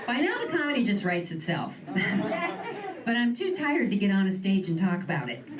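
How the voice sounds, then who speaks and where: Noticeable background noise accompanies a woman who speaks at a medium pitch with an American accent, her pitch swinging very widely. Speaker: stand-up comedian; writer in film and TV development. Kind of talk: live stand-up comedy set. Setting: live venue with audience.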